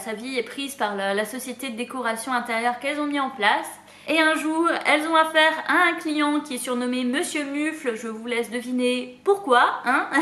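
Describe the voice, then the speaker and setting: Over noticeable background noise, a woman speaks in a raised, projected voice at a moderate pace. Her pitch is high, with ordinary variation. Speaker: booktuber. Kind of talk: casual talk to camera.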